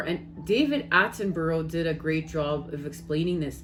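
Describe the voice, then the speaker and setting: Speaking in a Canadian accent, a woman has a fairly low voice and a fairly slow pace. Noticeable background noise runs underneath. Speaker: spiritual tarot reader. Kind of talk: casual spiritual vlog talk.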